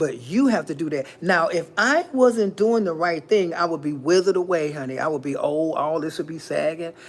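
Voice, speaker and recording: The delivery has an animated tone at a moderate pace. There are hardly any pauses. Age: 50s. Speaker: livestream host. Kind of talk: motivational talk.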